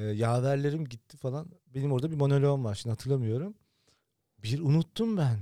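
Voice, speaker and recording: A man with a fairly high voice and a dark, mellow tone speaks at a fairly quick pace with lively intonation. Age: 40s. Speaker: podcast host. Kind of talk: casual chat.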